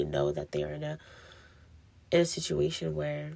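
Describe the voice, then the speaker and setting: Here a woman talks at a moderate pace. The recording is very clean, with a silent background. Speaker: podcast host. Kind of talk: casual monologue rant. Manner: hesitant, many fillers.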